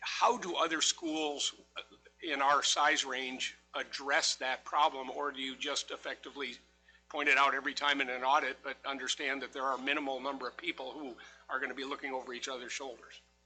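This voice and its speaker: Music plays behind a man speaking at a fairly quick pace. His pitch is fairly high, and his intonation is monotone and flat. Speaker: school board member. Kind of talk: board meeting questions.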